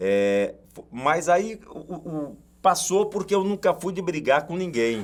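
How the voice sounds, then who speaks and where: A man speaks with a high pitch and lively intonation at a fairly slow pace, his loudness swinging widely. The recording is very clean, with a silent background. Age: 60s. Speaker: sports commentator, radio broadcaster. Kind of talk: casual interview chat.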